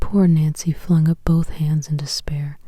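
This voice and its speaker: In a soothing, calm tone, a woman speaks at a moderate pace. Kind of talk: sleep story, audiobook reading.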